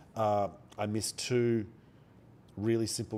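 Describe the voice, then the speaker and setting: On a very clean recording with a silent background, a man with an Australian accent speaks in a dark, mellow tone at a fairly low pitch. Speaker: day trader streamer. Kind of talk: live trading stream commentary. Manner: quiet, soft-spoken. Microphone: mic very close.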